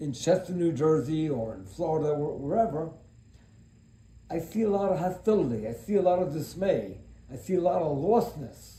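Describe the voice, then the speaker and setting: Audible room echo surrounds a man speaking at a moderate pace in a fairly high pitch. His tone is dark and mellow, with lively intonation. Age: 70s. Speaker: self-help speaker. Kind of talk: motivational monologue. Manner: serious; talkative.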